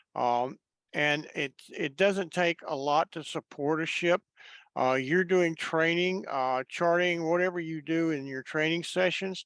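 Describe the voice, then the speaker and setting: With a dry, close sound and no echo, a high-pitched man speaks fairly slowly with ordinary pitch variation. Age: 70s. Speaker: volunteer scout leader. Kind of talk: webinar presentation. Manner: halting, many fillers.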